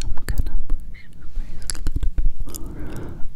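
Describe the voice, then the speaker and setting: A soft-spoken woman whispers at a very slow pace. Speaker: ASMR creator. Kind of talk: ASMR whisper chat. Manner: close soft whisper. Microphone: studio mic.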